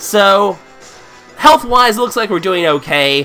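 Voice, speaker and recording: Very wide pitch swings in a man's voice, with music in the background. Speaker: let's play commentator. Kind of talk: game commentary.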